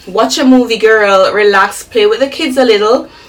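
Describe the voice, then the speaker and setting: Noticeable background noise sits behind the speaker. She is a woman whose voice shows ordinary pitch variation. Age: 30s. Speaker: lifestyle vlogger. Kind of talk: casual vlog talk to camera. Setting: at home. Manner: chatty, conversational.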